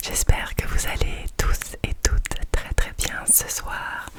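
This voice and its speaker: A woman whispers at a very slow pace amid noticeable background noise. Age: 20s. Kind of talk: ASMR whispered talk to camera. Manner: whispered.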